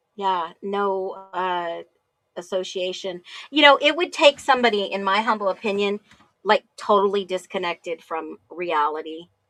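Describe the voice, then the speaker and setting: A woman with an American accent speaks in a normal speaking voice at medium pitch. Her pace is moderate and her intonation is lively. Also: dry, close sound with no echo. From US Northeast, New Jersey area. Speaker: live call-in show host. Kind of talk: casual chat.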